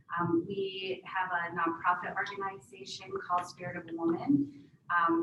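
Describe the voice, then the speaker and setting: Noticeable background noise sits behind a woman of medium pitch who speaks at a moderate pace with fairly even intonation. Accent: American. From Wisconsin, Menominee Reservation. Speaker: health professions center director, panelist. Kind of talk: panel talk, self-introduction. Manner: hesitant, many fillers.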